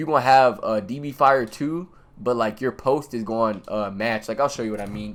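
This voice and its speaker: Ordinary pitch variation shapes a man's voice at a medium pitch. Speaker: video game tutorial creator. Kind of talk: tutorial. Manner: fast; casual, slangy.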